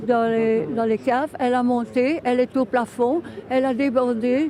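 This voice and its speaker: Amid noticeable background noise, a woman with a high pitch speaks at a fairly slow pace. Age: 80s+. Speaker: flood victim. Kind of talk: interview.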